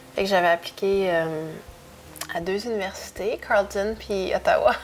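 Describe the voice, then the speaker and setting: A woman with a medium pitch and ordinary variation in it talks against noticeable background noise. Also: fairly slow pace. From Canada, moved often (Ontario, Quebec, Europe). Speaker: interview guest. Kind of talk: casual interview chat. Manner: halting, many hesitations.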